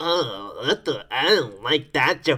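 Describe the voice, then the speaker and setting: This is a man's voice. He speaks in a put-on character voice. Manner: mocking, prim.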